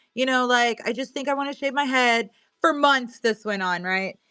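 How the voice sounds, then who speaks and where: In a Missouri accent, a woman with a fairly high pitch talks at a moderate pace, her bright, sharp tone animated and her pitch variation ordinary. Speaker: live-stream seller. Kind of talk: casual live-stream chat.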